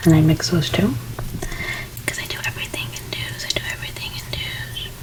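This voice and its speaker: Through noticeable background noise, a woman's whisper comes across. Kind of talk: ASMR makeup role play. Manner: soft-spoken; repetitive trigger words.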